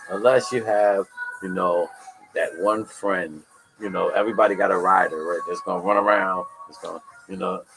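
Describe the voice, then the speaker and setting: Music plays behind a man with an American accent who talks at a moderate pace, his loudness swinging widely and his speech broken by long, frequent pauses. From New York. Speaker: podcast host, mentor. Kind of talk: casual interview. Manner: conversational.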